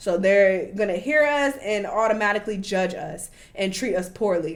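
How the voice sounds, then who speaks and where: Woman with an American accent, medium pitch, an animated tone and lively intonation. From United States. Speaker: travel vlogger. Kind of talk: casual vlog commentary.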